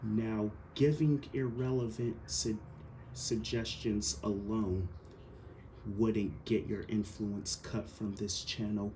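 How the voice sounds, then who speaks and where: Very slowly, a man speaks at a fairly low pitch in a dark, mellow, somewhat breathy tone, with ordinary pitch variation. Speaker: action figure YouTuber. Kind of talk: casual vlog monologue. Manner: stuttering; repeats words, halting.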